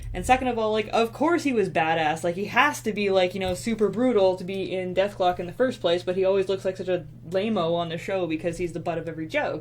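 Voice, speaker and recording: Over noticeable background noise, a woman talks at a very fast pace with hardly any pauses and ordinary pitch variation. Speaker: artist and web video writer. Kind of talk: casual chat. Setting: home live stream.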